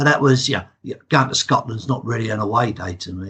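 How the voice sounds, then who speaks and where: A man with an English accent speaks at a moderate pace with lively intonation. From England. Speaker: football fan. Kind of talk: casual chat.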